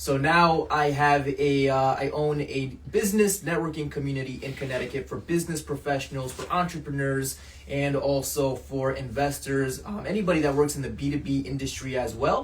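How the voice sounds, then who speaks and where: A man with an American accent and a fairly high pitch talks with hardly any pauses, amid noticeable background noise and audible room echo. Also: ordinary pitch variation, moderate pace. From Portugal, raised in US from childhood. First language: Portuguese. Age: 30s. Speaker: entrepreneur. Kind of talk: podcast interview. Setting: office.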